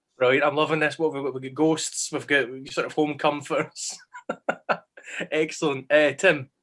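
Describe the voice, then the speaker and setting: A man's fairly high, monotone voice with a Scottish accent, at a moderate pace with long, frequent pauses. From West Central Scotland, Glasgow. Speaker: history teacher hosting online panel. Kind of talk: casual panel chat.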